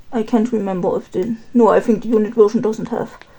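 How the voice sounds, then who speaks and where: A woman with a German accent at a moderate pace, over noticeable background noise. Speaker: K-pop collector vlogger. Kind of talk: casual chat while organizing photocards. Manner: halting.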